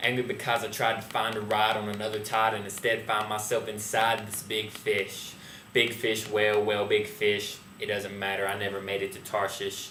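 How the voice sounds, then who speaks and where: Over noticeable background noise, a man with a fairly low pitch speaks at a moderate pace in a monotone, flat intonation. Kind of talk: slam poetry performance, first-person retelling of an Old Testament story. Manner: angry, wry, rhyming.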